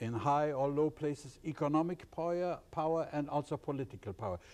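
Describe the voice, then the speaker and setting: This man's voice has a dark, mellow tone at a medium pitch. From Germany, East Prussia. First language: German. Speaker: professor of ethics. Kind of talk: interview.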